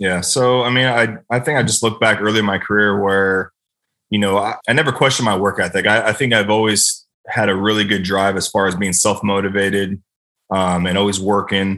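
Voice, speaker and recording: Against a quiet background, a man with an American accent speaks at a fairly quick pace and a fairly low pitch, his tone bright and sharp, his loudness very even and his intonation fairly even. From US West Coast. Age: 30s. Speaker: NFL long snapper. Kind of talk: casual interview chat. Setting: podcast interview. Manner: fast, many fillers.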